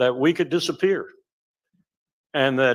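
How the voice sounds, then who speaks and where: The recording is very clean with a silent background, and the voice shows ordinary pitch variation. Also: man. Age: 70s. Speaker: former professor, panelist. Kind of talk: panel discussion. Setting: stage with audience.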